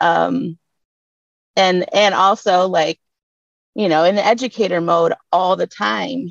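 A woman with a Detroit accent at medium pitch, very slow pace with long, frequent pauses, ordinary pitch variation, and a dry, close sound with no echo. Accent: Detroit (Inland North) American. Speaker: community seed keeper and educator. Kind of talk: panel discussion.

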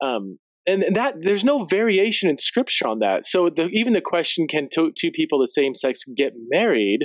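With a high pitch and very wide pitch swings, a man talks at a fairly quick pace in a dry, close sound with no echo. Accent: American. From Central California. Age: 40s. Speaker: theologian and author. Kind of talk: casual interview conversation.

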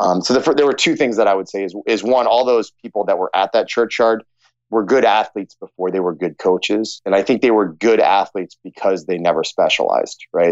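In a normal speaking voice, a man talks at a fairly quick pace with a dry, close sound and no echo. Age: 30s. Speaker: strength coach. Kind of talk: interview.

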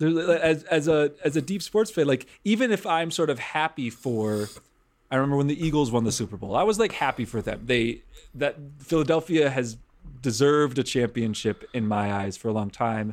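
A normal speaking voice with lively intonation goes at a moderate pace in an American accent. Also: man, fairly high pitch for a man. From Wisconsin, US Midwest (Milwaukee). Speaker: rabbi. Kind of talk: casual chat.

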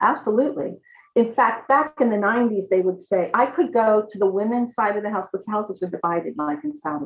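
Lively intonation marks a woman's fairly high voice, an unremarkable speaking voice with an American accent. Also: fairly quick pace. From USA. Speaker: music professor. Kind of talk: interview on video call. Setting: video call.

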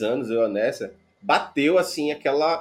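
This man has a plain, everyday voice at a fairly high pitch and speaks at a fairly slow pace. The recording is very clean, with a silent background. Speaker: podcast host, software developer. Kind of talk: casual chat.

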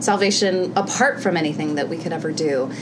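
Against noticeable background noise, a woman with an American accent talks at a moderate pace with ordinary pitch variation. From US Midwest. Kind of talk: interview. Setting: at a conference.

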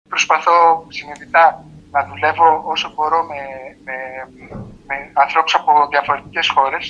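Amid noticeable background noise, a man with a fairly high pitch speaks at a fairly slow pace in a flat monotone, with long, frequent pauses and big swings in loudness. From Greece. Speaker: film editor. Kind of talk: interview. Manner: halting.

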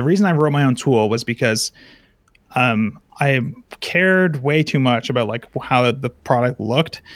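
In an ordinary speaking voice, this man keeps a medium pitch and a moderate pace, with ordinary pitch variation. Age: 20s. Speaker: software developer and course creator. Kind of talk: casual interview. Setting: live video call.

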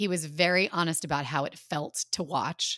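Speaking at a very slow pace, a woman with a fairly low pitch and a bright, sharp tone is heard on a very clean recording with a silent background and a dry, close sound with no echo. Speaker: podcast host and actor. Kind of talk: casual chat.

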